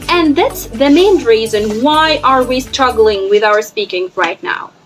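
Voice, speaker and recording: A woman speaks at a moderate pace over music in the background. Her voice is high-pitched and swings very widely in pitch. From Egypt. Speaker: English teacher. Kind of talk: educational talk to camera.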